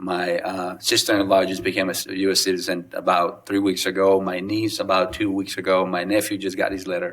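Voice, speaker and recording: A man with a Spanish accent talks at a fairly quick pace with hardly any pauses. His very deep, low voice stays monotone and flat. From Mexico (Guadalajara). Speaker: city council member. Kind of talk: ceremonial remarks. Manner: unscripted, halting with fillers.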